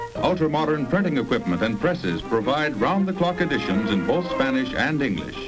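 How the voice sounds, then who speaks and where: A man with an American accent speaks at a fairly quick pace and fairly high pitch, with very wide pitch swings, very even loudness and hardly any pauses. Music plays in the background. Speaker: newsreel narrator. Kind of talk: 1950s newsreel voiceover, promotional documentary narration. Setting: vintage film soundtrack, studio recorded. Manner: brisk, declamatory, formal.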